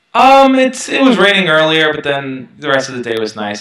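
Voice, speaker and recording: In an American accent, the speaker talks at a fairly quick pace, with audible room echo. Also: man. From Brooklyn, New York; New York. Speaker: self-help youtuber. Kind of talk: interview. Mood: relaxed, reflective. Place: home room. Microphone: headset.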